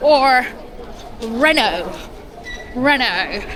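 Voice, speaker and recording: Over crowd noise and audible room echo, a woman speaks at a high pitch with ordinary pitch variation. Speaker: vlogger. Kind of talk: casual chat.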